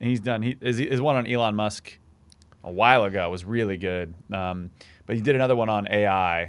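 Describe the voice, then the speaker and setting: At a fairly quick pace, a man with a fairly low voice sounds animated, with ordinary pitch variation, in a very clean recording with a silent background. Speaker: podcast co-host. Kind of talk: casual banter. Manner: joking, animated.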